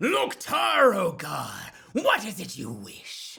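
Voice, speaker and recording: A man growls in a put-on character voice pitched high. He talks at a very slow pace. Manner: intense.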